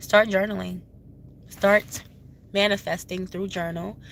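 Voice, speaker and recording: Speaking very slowly, a woman uses a medium pitch with vocal fry and fairly even intonation. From Haiti. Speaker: spiritual advisor, tarot reader. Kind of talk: casual advice talk to camera.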